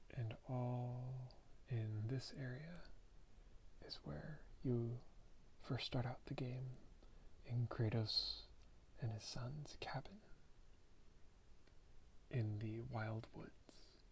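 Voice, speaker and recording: Soft-spoken and somewhat breathy, a man talks at medium pitch and a very slow pace, with ordinary pitch variation and long, frequent pauses. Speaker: ASMR creator. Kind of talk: ASMR soft-spoken show-and-tell.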